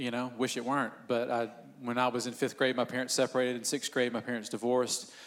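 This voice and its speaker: Speaking at a very fast pace, a man talks with a Southern US accent. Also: medium pitch for a man. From US South, Northeast Georgia. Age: 40s. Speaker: church pastor. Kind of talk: church panel discussion. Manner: animated.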